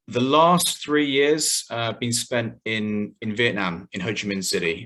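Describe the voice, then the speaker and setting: His tone bright and sharp, a man with a British accent speaks with ordinary pitch variation. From UK. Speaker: game company founder. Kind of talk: online members call presentation. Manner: hesitant, many fillers.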